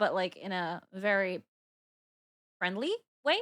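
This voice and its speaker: A bright, sharp woman's voice with an Arabic accent and lively intonation. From Dubai, UAE. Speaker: VTuber streamer. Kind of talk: casual livestream chat. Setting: livestream. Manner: animated.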